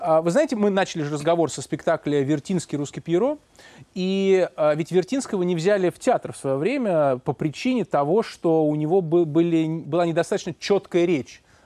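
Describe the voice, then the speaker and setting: A man's high-pitched voice with a dark, mellow tone, ordinary pitch variation and a moderate pace, over a quiet background with dry sound and no echo. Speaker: radio host. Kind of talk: late-night radio interview. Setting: studio. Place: studio. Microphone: lapel.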